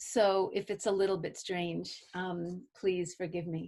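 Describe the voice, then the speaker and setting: A woman's medium-pitched voice in a New York accent, at a fairly slow pace with fairly even intonation over a quiet background. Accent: New York American. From US, Brooklyn, New York. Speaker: artist and filmmaker. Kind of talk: artist talk. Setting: video call with live interpreter.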